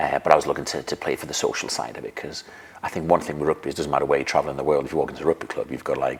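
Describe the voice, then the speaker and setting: A man talks at a very fast pace, with big swings in loudness. Noticeable background noise runs behind him. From Denmark. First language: Danish. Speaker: physiotherapist and retired rugby player. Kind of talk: podcast interview. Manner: halting.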